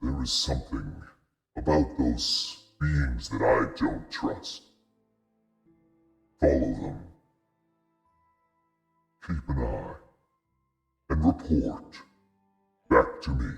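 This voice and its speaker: A man uses a put-on character voice that is raspy and very deep, over faint music in the background. He talks at a very slow pace with long, frequent pauses. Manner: commanding, ominous.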